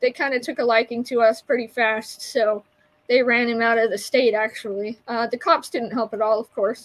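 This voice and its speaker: Moderate pace with fairly even intonation. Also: woman, fairly high pitch for a woman. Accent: American. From Utah, Salt Lake City. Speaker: community organizer and advocate. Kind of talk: interview.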